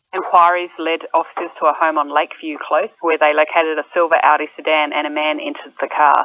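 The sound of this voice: A man's fairly high-pitched voice at a fairly quick pace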